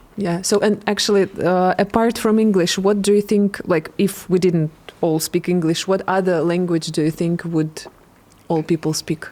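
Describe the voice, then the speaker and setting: In a Russian accent, a woman speaks with a dark, mellow tone at a medium pitch, her intonation fairly even and her loudness very even. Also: moderate pace. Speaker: English teacher and podcast host. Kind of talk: casual interview chat.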